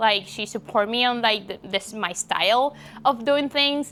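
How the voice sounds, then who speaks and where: In a bright, sharp tone, a woman speaks at a moderate pace with ordinary pitch variation, recorded very cleanly against a silent background. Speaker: college tennis player. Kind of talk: interview.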